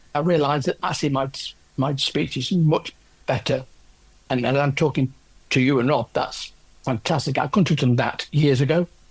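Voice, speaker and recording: Somewhat breathy and fairly high-pitched, a man speaks at a moderate pace with fairly even intonation and long, frequent pauses. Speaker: orchestral percussionist with aphasia after a stroke. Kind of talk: interview about own experience. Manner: halting, with word-finding pauses and repetitions.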